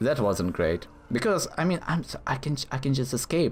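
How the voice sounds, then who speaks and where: A man's pitch swings very widely while noticeable background noise continues. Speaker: gaming commentator. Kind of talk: gameplay commentary. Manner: halting, stuttering; animated.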